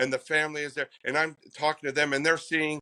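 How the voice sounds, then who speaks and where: Bright and sharp, the voice carries an American accent at a fairly quick pace with flat, monotone intonation. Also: man, dry, close sound with no echo. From Pennsylvania. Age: 60s. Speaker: psychic medium. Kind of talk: interview.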